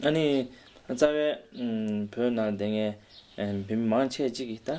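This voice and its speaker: In a Tibetan accent, a man talks fairly slowly with a dark, mellow tone, a fairly low pitch and ordinary pitch variation. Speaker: state oracle. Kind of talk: interview.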